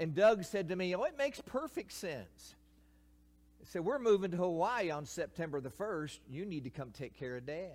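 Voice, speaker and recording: Speaking with a Kentucky accent, a man keeps a moderate pace. His pitch is high and swings very widely. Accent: Kentucky Southern US. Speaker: retired pastor, guest preacher. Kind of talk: sermon. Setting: church.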